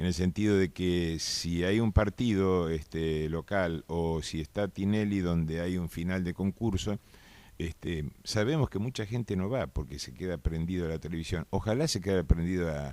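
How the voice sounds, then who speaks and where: Recorded very cleanly against a silent background, a man speaks in a very deep, low, dark, mellow tone at a moderate pace, with ordinary pitch variation. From Argentina, Concordia, Entre Ríos. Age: 60s. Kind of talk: radio interview.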